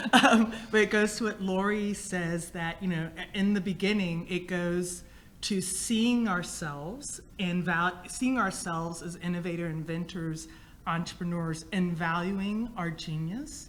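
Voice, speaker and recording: Amid audible room echo, a woman speaks at a fairly slow pace with a fairly low pitch. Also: ordinary pitch variation. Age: 50s. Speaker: inventor and entrepreneur. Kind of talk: panel discussion.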